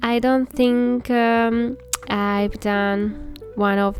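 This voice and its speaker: Music plays behind a woman speaking with a high pitch. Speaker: Sims game builder YouTuber. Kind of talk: casual narration over gameplay. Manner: halting, with many fillers and restarts.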